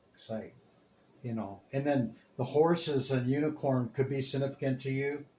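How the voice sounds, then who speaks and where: A man speaks at a medium pitch in a dark, mellow tone, somewhat breathy, with fairly even intonation. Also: moderate pace. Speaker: tarot reader. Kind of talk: tarot reading. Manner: casual, repeats okay.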